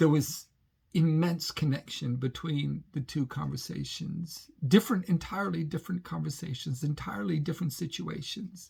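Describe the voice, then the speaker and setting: This man's voice sits fairly high in pitch and carries vocal fry. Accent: American. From Britain. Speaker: pilgrim vlogger. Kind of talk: reflective vlog monologue. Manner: halting, many false starts.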